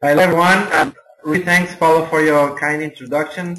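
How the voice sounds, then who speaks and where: This man's voice sits fairly high in pitch. He has a non-native accent. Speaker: network marketing mentor. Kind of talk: webinar presentation. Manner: halting, many hesitations.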